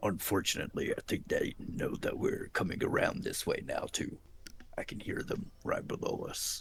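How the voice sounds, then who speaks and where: A man talks in a raspy, put-on character voice. His pace is moderate. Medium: actual play.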